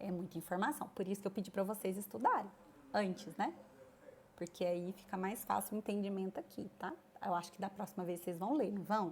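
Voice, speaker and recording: A woman with a medium-pitched voice speaks at a fairly quick pace broken by long, frequent pauses, her intonation fairly even. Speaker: nursing teacher. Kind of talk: lecture. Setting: online class.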